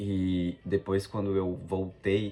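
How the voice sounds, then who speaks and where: This is a man's voice. It sits at a very deep, low pitch. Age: 20s. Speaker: travel vlogger. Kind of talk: casual vlog monologue. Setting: abroad in Japan.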